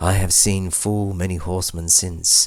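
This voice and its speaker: Somewhat breathy and very deep, a man's low voice moves at a fairly slow pace. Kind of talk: poem reading.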